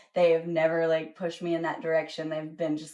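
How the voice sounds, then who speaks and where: Speaking very fast with a slight Southern US accent, a woman uses a fairly low pitch. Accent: slight Southern twang. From US South. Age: 20s. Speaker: singer-songwriter. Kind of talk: casual interview chat.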